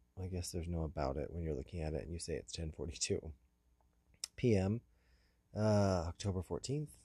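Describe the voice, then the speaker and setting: Talking at a fairly quick pace with long, frequent pauses, a man has a very deep, low voice, a dark, mellow tone and a somewhat breathy sound. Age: 40s. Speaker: personal audio diarist. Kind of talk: personal audio diary. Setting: in a parked car. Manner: halting, many fillers.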